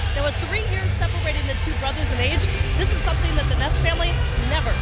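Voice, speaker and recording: Loud music plays in the background. A woman talks at a very fast pace. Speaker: sports reporter and host. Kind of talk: reporter stand-ups, live hits and interview questions. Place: stadium. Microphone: handheld.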